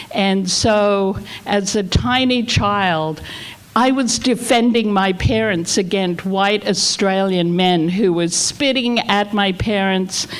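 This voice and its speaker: Very slowly and at a very even loudness, a woman speaks at a medium pitch with ordinary pitch variation amid noticeable background noise. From Australia. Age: 70s. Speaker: community center leader. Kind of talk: invocation speech at community meeting.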